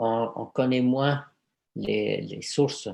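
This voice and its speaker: A man at a very slow pace, his intonation fairly even. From Egypt, Cairo. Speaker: aromatherapist. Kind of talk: conference talk and Q&A. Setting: video conference. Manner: hesitant, many fillers and repetitions.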